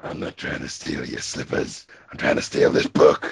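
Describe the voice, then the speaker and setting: Using a raspy, put-on character voice pitched extremely high, a man speaks at a moderate pace. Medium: fan dub. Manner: whiny, plotting.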